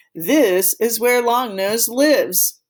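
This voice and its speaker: The speaker puts on a character voice pitched fairly high. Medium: read story.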